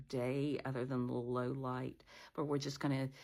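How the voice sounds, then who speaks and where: A woman's very deep, low voice, flat and monotone, at a fairly quick pace, on a very clean recording with a silent background. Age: 60s. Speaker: blind vlogger. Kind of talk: casual vlog monologue. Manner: halting, with many fillers.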